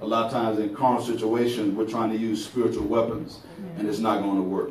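A man talks at a very fast pace with fairly even intonation. There is audible room echo and light background noise. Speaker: preacher. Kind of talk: sermon. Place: church.

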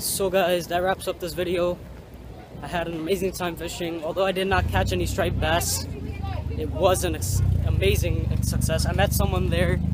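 Against crowd noise in the background, a man speaks at a moderate pace with long, frequent pauses, the sound dry with no echo. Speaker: fishing vlogger. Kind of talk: casual vlog chat. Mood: happy, enthusiastic. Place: street. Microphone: phone near.

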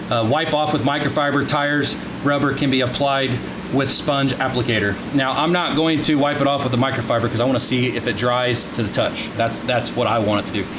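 Over noticeable background noise, a man speaks with very even loudness and fairly even intonation. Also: fairly quick pace. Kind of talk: product review tutorial. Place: garage. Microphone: phone near.

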